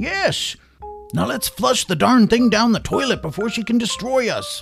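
A man puts on a character voice at an extremely high pitch, with a fairly bright tone, a slightly husky edge, vocal fry and lively intonation, as faint music plays in the background. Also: moderate pace.

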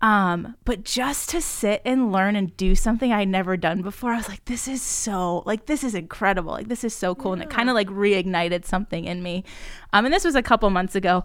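A woman speaks in an animated tone at a medium pitch and a fairly quick pace. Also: ordinary pitch variation. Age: 20s. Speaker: podcast co-host. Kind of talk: casual chat.

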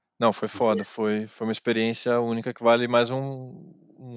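The delivery is monotone and flat in intonation, moving at a moderate pace. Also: man. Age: 30s. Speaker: journalist and DJ. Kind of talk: casual interview chat.

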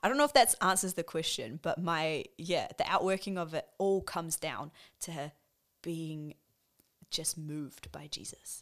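Speaking slowly-ish with an animated tone, a woman with a New Zealand accent uses a fairly low pitch and big swings in loudness. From New Zealand, Wellington. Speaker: nurse and worship leader. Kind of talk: casual chat.

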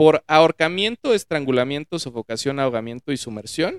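A man's fairly high voice with lively intonation, at a moderate pace, in a dry, close recording without echo. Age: 30s. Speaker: podcast guest, finance worker. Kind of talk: casual chat. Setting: studio, in person.

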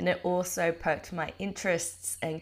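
A woman with an Australian accent, fairly low in pitch. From Australia, North Queensland (Townsville). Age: 30s. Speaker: podcast host and permaculture educator. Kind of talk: solo podcast monologue. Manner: casual with frequent fillers (um, uh).

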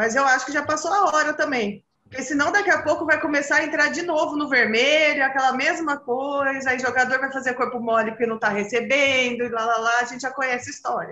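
A woman with a high pitch speaks at a fairly quick pace with hardly any pauses. Her pitch variation is ordinary. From São Carlos, São Paulo state, Brazil. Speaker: football fan guest. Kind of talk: casual football chat.

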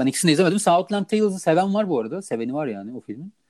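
Very fast and high-pitched, a man talks with very wide pitch swings in a dry, close sound with no echo. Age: 30s. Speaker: film podcast co-host. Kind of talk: casual chat.

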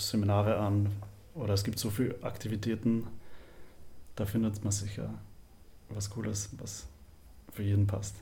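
A man talks at a moderate pace in a monotone, flat intonation, with a dark, mellow tone that is somewhat breathy. Audible room echo surrounds his voice. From Upper Austria, near Linz. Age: 20s. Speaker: university student. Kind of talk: casual interview.

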